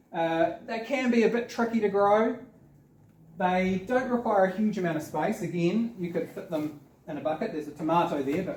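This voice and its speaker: Speaking with a New Zealand accent, a man has a high pitch. His pitch varies in an ordinary way. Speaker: community gardening speaker. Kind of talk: seminar presentation. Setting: seminar with audience. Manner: fast.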